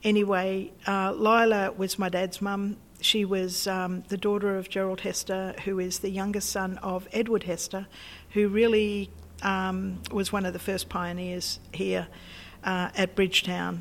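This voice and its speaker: The speaker has an Australian accent and a monotone, flat intonation. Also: woman, medium pitch for a woman, fairly slow pace. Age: 70s. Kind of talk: interview. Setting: old packing shed.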